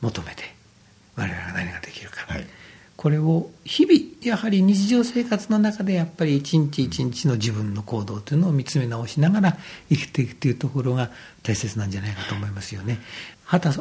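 Somewhat breathy and fairly high-pitched, a man speaks at a fairly quick pace with very wide pitch swings and big swings in loudness. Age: 50s. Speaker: Buddhist temple priest. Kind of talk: radio talk. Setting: temple room. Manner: polite, formal.

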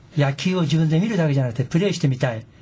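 You can hear a man talking. There is noticeable background noise throughout. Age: 70s. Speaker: senior baseball team manager. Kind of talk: casual interview.

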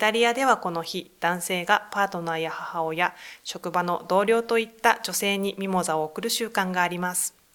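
A woman's ordinary speaking voice at a medium pitch, with fairly even intonation, a moderate pace and hardly any pauses. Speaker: gender equality center staff. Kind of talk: interview. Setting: studio.

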